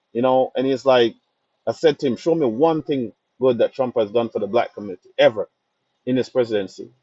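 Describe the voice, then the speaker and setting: A man with a Jamaican accent talks at a fairly quick pace, his pitch rising and falling by an ordinary amount. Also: medium pitch for a man. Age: young. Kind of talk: casual talk to camera.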